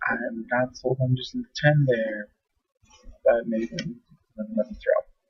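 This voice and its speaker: A man speaks quietly in a somewhat breathy voice with lively intonation. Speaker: game match commentator. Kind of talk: live commentary. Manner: speaking quietly.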